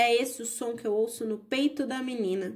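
A woman's high-pitched voice comes through in a calm, gentle tone. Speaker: audiobook narrator. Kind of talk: bedtime story reading aloud. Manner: calm, gentle, storytelling pace; expressive, changes tone for characters.

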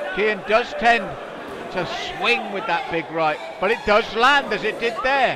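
A raised, projected voice comes at a moderate pace in a dry sound with no echo, against noticeable background noise. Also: man. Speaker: ringside commentator. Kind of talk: sports commentary. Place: hall.

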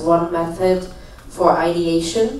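Audible room echo surrounds the voice. A man speaks with a high pitch. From Germany. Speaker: startup incubator founder. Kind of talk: panel discussion. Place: hall.

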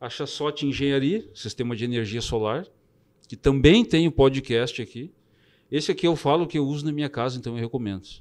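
A man talks at a fairly quick pace in a fairly high pitch. The background is quiet. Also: ordinary pitch variation. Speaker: podcast host. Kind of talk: casual chat. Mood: warm, grateful. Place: studio. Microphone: studio mic.

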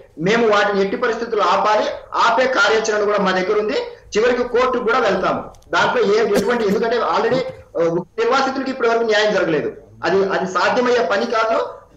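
Audible room echo carries a man's high-pitched voice, which holds a very even loudness. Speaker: party spokesperson. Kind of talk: heated debate. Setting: video call. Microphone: remote Skype line; video call.

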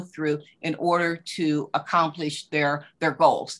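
A woman with an American accent speaks in a bright, sharp tone against a quiet background. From West Virginia. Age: 70s. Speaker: fiber artist and quilter. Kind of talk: conversational interview. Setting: video call. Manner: halting, many fillers. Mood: reflective, warm. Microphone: video call.

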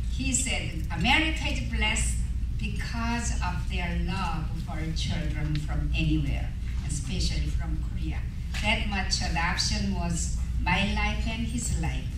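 Amid audible room echo and noticeable background noise, a man speaks at a fairly slow pace. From Korea. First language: Korean. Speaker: adoption ministry speaker. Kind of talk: speech at gala event. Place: hall.

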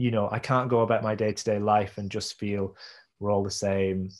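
Fairly low-pitched male voice with a British accent, monotone, flat intonation and a moderate pace. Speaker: visual artist and performance maker; interviewee. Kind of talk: interview conversation. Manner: hesitant, many fillers and repeats. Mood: reflective, thoughtful. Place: home room. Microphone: video call.

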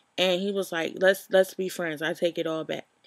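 Over a quiet background, a woman's fairly low voice shows ordinary pitch variation in a dry sound with no echo. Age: 20s. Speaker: YouTube vlogger. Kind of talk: casual storytelling vlog. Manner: informal, many fillers. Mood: animated, exasperated storytelling. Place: home room. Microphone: webcam.

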